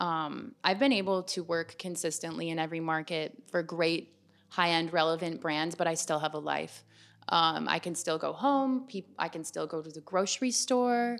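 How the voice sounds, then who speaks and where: Lively intonation marks an ordinary speaking voice moving at a moderate pace in a very clean recording with a silent background. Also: woman, fairly low pitch for a woman. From Canada, Ontario (small town west of Toronto). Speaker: model agent and former model. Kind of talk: interview.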